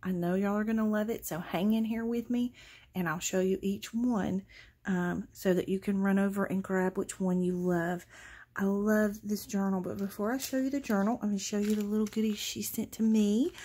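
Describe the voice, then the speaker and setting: A woman's somewhat breathy, dark, mellow voice at a moderate pace with fairly even intonation. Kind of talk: casual vlog chat.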